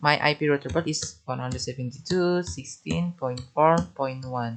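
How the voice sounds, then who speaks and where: A man with an Indonesian accent speaks at a medium pitch with lively intonation. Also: moderate pace. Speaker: networking tutor. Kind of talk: tutorial. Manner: halting.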